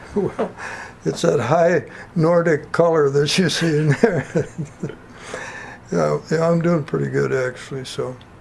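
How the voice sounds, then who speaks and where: A man with an Upper Midwest accent and a fairly high pitch, at a fairly slow pace with long, frequent pauses, over noticeable background noise. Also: ordinary pitch variation. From North Dakota. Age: 80s+. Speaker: retiree. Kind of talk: oral history interview. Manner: halting.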